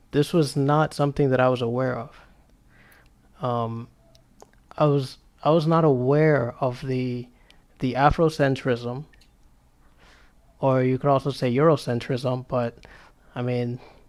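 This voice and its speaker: A man speaks at a fairly slow pace with a Spanish accent, his pitch medium. His intonation is flat and monotone, broken by long, frequent pauses. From US Dominican community. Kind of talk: casual chat. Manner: halting.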